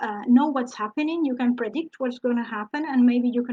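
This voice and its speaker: At a fairly quick pace, a woman with a non-native accent talks in a high pitch with a dark, mellow tone. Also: dry, close sound with no echo. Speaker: dog trainer. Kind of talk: lecture. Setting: live online broadcast. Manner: halting.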